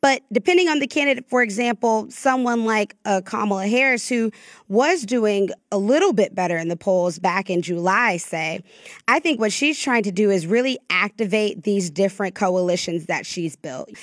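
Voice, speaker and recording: In a normal speaking voice, a woman with an American accent talks at a moderate pace with medium pitch and lively intonation, the sound dry and close with no echo on a very clean recording over a silent background. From US South, North Florida. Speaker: political reporter. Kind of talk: interview.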